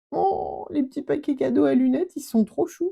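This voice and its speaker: The sound is dry and close with no echo as a woman speaks at a moderate pace in a dark, mellow tone. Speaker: scrapbooking youtuber. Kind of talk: unboxing chat. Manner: animated, exclamatory.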